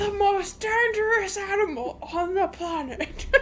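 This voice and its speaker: A put-on character voice at an extremely high pitch and fairly slow pace, with clear background noise. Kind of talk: pompous, dramatic.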